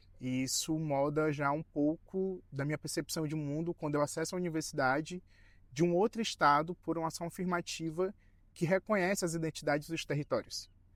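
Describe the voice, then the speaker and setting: A man with fairly high pitch and fairly even intonation, in a very clean recording with a silent background and a dry, close sound with no echo. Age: 20s. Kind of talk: documentary interview. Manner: halting with fillers.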